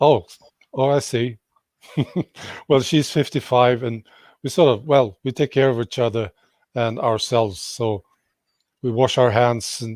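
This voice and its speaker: In a dry, close recording with no echo, a man with a Swedish accent talks at a fairly slow pace, with a medium pitch and fairly even intonation. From Sweden. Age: 60s. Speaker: YouTube commentator. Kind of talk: casual interview.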